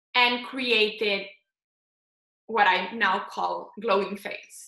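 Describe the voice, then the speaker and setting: A very slow, monotone, flat delivery in a Slovenian accent, bright and sharp in tone, with audible room echo. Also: woman. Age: 20s. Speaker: face yoga instructor and founder. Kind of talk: casual interview.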